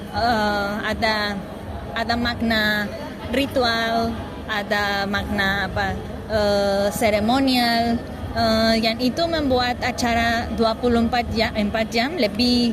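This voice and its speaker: A woman with a non-native accent and a fairly high pitch speaks at a very slow pace, her intonation fairly even and her loudness very even. Audible room echo and noticeable background noise are present. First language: not Indonesian (speaking Indonesian). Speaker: festival visitor. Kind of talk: street interview. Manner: halting, many fillers.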